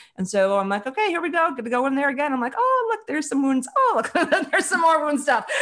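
A woman with an American accent speaks very fast with hardly any pauses, her high voice swinging very widely in pitch. Noticeable background noise runs underneath. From US Midwest, Chicago. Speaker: author and leadership advisor. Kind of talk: interview.

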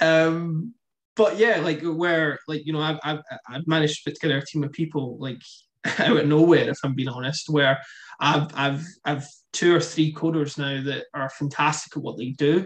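The speaker is a man with a fairly high pitch. He talks at a moderate pace with fairly even intonation. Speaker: startup founder, guest. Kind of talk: casual interview chat. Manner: hesitant, repeats words.

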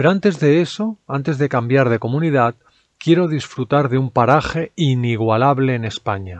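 A man with a normal speaking voice talks at a moderate pace and medium pitch with lively intonation, in a dry, close sound with no echo. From Spain, Barcelona. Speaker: language-learning podcaster. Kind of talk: scripted narration.

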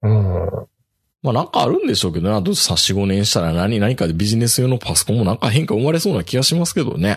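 A somewhat breathy man's voice at a medium pitch, very fast, with very wide pitch swings and very even loudness. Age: middle-aged. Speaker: podcast host. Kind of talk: casual chat. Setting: video call.

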